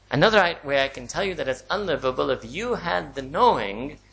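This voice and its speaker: A man with a fairly high pitch, a bright, sharp tone and vocal fry, in an American accent, with lively intonation at a fairly quick pace. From US, New York City (Manhattan). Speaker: Islamic scholar and lecturer. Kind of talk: lecture.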